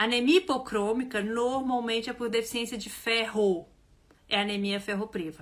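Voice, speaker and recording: Delivered at a moderate pace, the voice sounds animated, with ordinary pitch variation. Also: woman, fairly high pitch for a woman. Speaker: health educator. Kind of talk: live online class. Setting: livestream.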